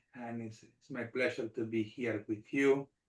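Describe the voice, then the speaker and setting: A man talks in a monotone with flat intonation, at a fairly slow pace, with a Spanish accent. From Argentina. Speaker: rabbi and army chaplain. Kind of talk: panel discussion.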